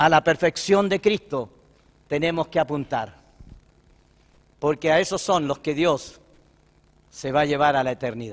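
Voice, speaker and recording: Fairly slow delivery with very wide pitch swings. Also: man, dry, close sound with no echo. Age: 60s. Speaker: pastor. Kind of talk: sermon.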